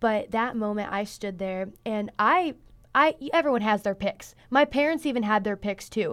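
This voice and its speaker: In a very clean recording with a silent background, a woman speaks with a fairly high pitch, lively intonation and a Midwestern American accent. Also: moderate pace. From northern Indiana, US Midwest. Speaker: beauty pageant titleholder and college student. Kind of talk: interview. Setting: studio.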